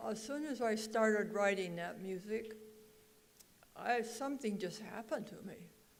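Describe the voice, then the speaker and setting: A woman with a fairly high pitch and ordinary pitch variation speaks at a moderate pace, with long, frequent pauses, big swings in loudness and audible room echo. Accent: American. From Oregon, US. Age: 80s+. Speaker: songwriter. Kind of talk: speech to an audience. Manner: halting.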